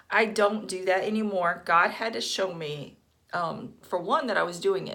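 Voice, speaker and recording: A woman's voice with audible room echo. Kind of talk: casual monologue. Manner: hesitant, many fillers.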